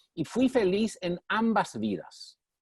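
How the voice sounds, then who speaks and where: The man's delivery is very slow. Very wide swings mark his pitch. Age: 60s. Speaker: former mayor, development leader. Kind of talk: interview on online session.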